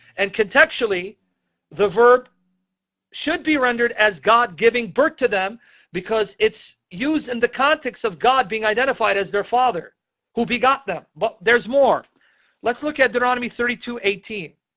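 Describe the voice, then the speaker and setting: Against a quiet background, a man with an extremely high pitch uses a raised, projected voice with a bright, sharp, animated tone, a moderate pace and ordinary pitch variation. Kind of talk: bible teaching. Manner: loud.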